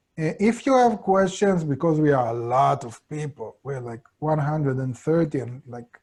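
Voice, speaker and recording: The speaker talks at a moderate pace with an Israeli accent. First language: Hebrew. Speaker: course teacher. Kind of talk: online lecture. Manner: halting.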